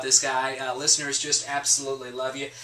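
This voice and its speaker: Noticeable background noise behind a man's fairly high-pitched voice. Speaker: radio program director and TV host. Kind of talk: TV interview host.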